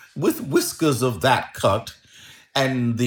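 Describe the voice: Pitch moves in an ordinary way as someone plainly reads aloud.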